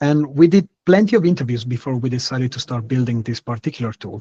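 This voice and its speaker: In an Italian accent, a man speaks with a fairly high, somewhat breathy voice and ordinary pitch variation, in a dry, close sound with no echo. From Italy. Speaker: startup founder, architect. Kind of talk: webinar product presentation.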